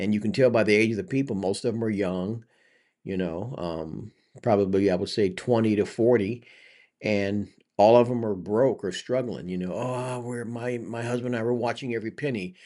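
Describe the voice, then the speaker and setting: A man speaks in a normal speaking voice at a medium pitch with ordinary pitch variation. His pace is moderate, and the background is quiet. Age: 50s. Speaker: commentary vlogger. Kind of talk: reaction commentary. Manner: casual, conversational.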